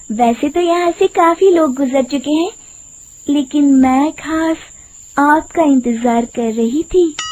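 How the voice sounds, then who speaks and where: Putting on a cackling character voice, a woman speaks high and fairly slowly over light background noise. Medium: cartoon. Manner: sweet-talking then cackling.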